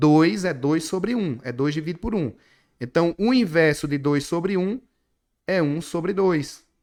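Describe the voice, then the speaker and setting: Here a man talks at a fairly slow pace in an animated tone with lively intonation. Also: fairly high pitch for a man. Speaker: math teacher. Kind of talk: online class lecture. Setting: online class with screen share.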